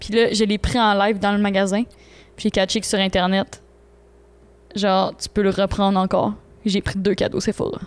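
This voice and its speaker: A woman with a Quebec accent speaks at a medium pitch in a monotone, flat intonation, leaving long, frequent pauses. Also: moderate pace. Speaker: podcast co-host. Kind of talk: casual chat.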